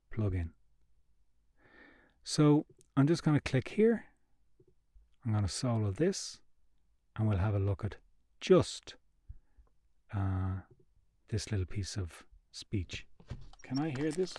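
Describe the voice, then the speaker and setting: Speaking at a very slow pace with long, frequent pauses, a man uses a medium pitch, a dark, mellow tone, lively intonation and a somewhat breathy delivery. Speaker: podcast software demonstrator. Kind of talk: tutorial. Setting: live stream webinar.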